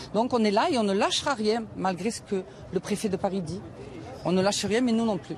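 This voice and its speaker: A woman speaks fairly quickly with noticeable background noise behind her. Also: medium pitch for a woman, ordinary pitch variation. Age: 60s. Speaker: protester. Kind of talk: street interview. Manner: animated.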